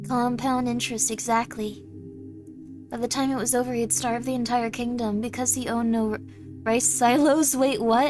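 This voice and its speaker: A woman talking at a moderate pace over music in the background. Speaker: VTuber streamer. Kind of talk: casual livestream chat.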